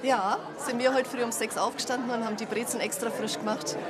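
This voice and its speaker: Fairly quick speech amid audible room echo and crowd noise in the background. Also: woman. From Franconia, Nuremberg. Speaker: baker and cave tour guide. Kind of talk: casual chat.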